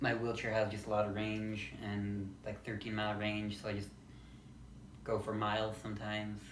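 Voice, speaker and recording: A man's fairly low voice comes through in monotone, flat intonation, with audible room echo and noticeable background noise. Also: moderate pace. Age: 20s. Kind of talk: casual vlog monologue. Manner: halting, with pauses and repeats.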